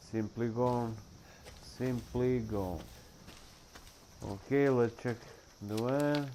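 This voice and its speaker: A man's medium-pitched voice in a non-native accent, dark and mellow in tone, very slow, fairly even in intonation, with long, frequent pauses. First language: not English. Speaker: gaming youtuber. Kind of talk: gameplay commentary. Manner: halting.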